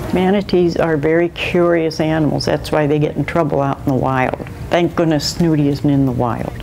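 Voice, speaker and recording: Music plays in the background as a woman talks at a moderate pace. Her very deep, low pitch stays in fairly even intonation. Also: hardly any pauses. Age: 70s. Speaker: manatee caretaker. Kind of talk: interview. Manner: casual, chatty.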